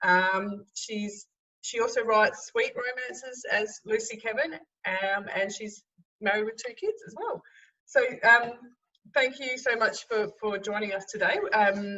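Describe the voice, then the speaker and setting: With an Australian accent, a woman talks at a fairly slow pace and fairly high pitch. Her pitch variation is ordinary, and her loudness swings widely. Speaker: interviewer. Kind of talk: interview. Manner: halting.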